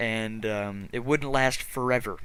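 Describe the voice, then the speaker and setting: A man's voice carries a bright, sharp tone. Pitch shifts in an ordinary way. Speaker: gaming youtuber. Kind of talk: let's play commentary. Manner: repeats words, stutters when thinking fast; fast.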